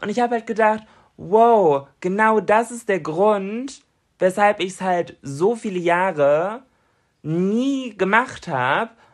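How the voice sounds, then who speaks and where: Spoken at a very slow pace with lively intonation against a quiet background. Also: woman, medium pitch for a woman. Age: 20s. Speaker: podcast co-host and influencer. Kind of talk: casual chat.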